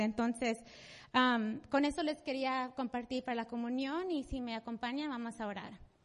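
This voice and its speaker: The background is quiet. A woman speaks fairly slowly in a high pitch with ordinary pitch variation. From US, Salvadoran mother. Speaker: church member, volunteer. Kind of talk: testimony. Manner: halting, many fillers.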